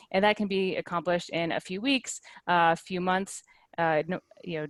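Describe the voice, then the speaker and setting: At a fairly quick pace, a woman talks in a fairly low pitch with fairly even intonation and a dry, close sound with no echo. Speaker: webinar presenter, media analyst. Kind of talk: webinar tutorial. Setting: video call. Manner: fast.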